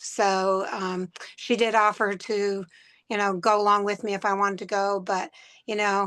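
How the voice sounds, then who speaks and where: A woman's medium-pitched voice at a moderate pace, monotone and flat in intonation, against a quiet background. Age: 60s. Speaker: mass shooting survivor. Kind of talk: testimony. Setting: podcast interview.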